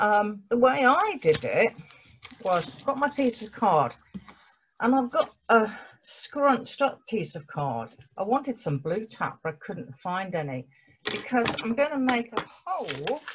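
A woman speaks at a fairly slow pace with very wide pitch swings and vocal fry, over light background noise. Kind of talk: tutorial. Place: home room. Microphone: webcam.

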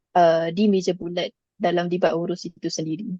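Set against a quiet background with dry, close sound and no echo, a dark, mellow voice moves at a moderate pace with fairly even intonation. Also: woman. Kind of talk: online panel Q&A. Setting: video call. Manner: hesitant, many fillers.

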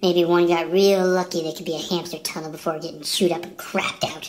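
A woman puts on a cartoonish character voice, pitched fairly low and delivered at a fairly quick pace. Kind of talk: mock-tragic hard-boiled monologue. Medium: puppet show. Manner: bleak, brooding, dramatic.

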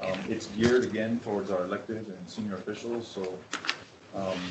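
A man talks at a fairly quick pace through noticeable background noise. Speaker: presenter. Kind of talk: meeting presentation. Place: hall. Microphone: podium.

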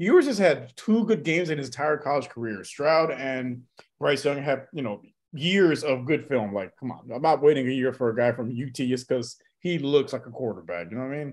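The background is quiet as a man speaks at a fairly quick pace. His intonation is lively. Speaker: podcast co-host on remote call. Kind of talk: sports commentary discussion. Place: home room.

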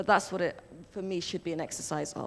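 A woman with a British accent talks at a very fast pace. Light background noise sits behind her. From UK (born in Somalia). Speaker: novelist; panelist. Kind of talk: panel discussion. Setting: stage with live audience. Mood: thoughtful, reflective. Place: stage. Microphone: handheld.

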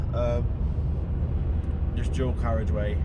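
A man talks at a moderate pace. Loud background noise is present throughout. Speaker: car vlogger. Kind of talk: casual vlog chat. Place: car. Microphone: phone near.

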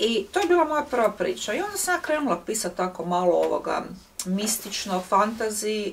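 A woman speaks in an unremarkable speaking voice at a fairly quick pace, with ordinary pitch variation. Light background noise sits behind her. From Zagreb, Croatia; Croatia. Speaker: writer and workshop leader; guest. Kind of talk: public talk interview. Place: home room.

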